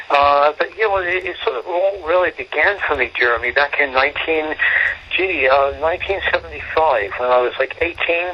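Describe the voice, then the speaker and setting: A man with a fairly high-pitched voice speaks over noticeable background noise. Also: ordinary pitch variation, moderate pace. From England. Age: 50s. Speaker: homeless shelter director. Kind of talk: interview.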